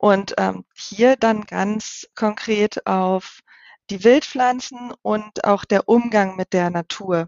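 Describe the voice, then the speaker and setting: Speaking very slowly, a woman with a medium pitch keeps her intonation fairly even. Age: 30s. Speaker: wild plant educator and software tester. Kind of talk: casual interview.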